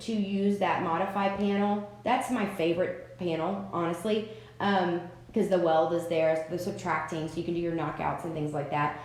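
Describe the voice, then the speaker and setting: There is audible room echo on this recording. A woman speaks at a moderate tempo. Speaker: craft software tutor. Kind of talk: live-stream tutorial. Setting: live stream with chat. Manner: casual, chatty. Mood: relaxed, encouraging. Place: home room. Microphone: webcam.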